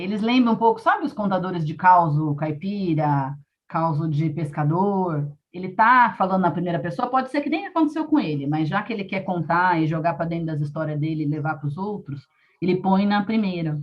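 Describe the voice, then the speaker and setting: A woman's somewhat breathy, fairly low-pitched voice with lively intonation. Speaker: storyteller and arts educator. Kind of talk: live interview. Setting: live stream on laptop and phone. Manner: fast.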